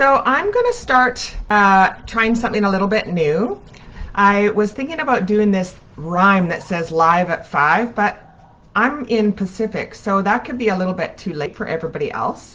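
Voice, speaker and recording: A woman with a normal speaking voice talks at a moderate pace and medium pitch, her intonation lively. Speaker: spiritual coach. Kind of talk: live stream talk. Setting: at home, live video.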